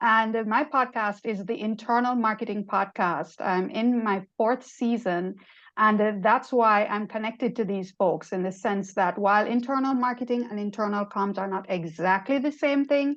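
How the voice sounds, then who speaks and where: A woman with a Jamaican accent speaks at a moderate pace, with hardly any pauses. Her pitch is fairly high with ordinary variation, and the background is quiet. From Jamaica (Kingston). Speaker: marketing executive and podcaster. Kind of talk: panel discussion. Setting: video call. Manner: animated.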